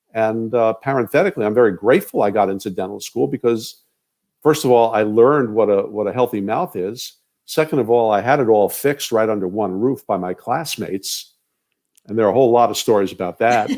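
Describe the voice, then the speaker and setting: This man has a plain, everyday voice and an American accent. He talks at a fairly quick pace with medium pitch and ordinary pitch variation, on a very clean recording with a silent background. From New York (Queens). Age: 60s. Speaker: dentist. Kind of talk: interview. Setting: live video stream.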